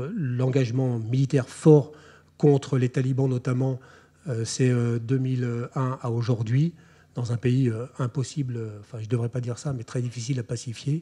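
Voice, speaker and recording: A man's dark, mellow, somewhat breathy voice at a fairly slow pace with monotone, flat intonation. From France. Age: 40s. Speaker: army officer. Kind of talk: lecture. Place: hall. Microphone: podium.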